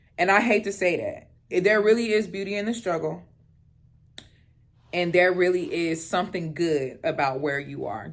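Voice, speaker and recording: The delivery is animated, with lively intonation, a moderate pace and long, frequent pauses. Room echo is audible. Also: woman. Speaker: lifestyle vlogger. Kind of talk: casual chat. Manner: loud.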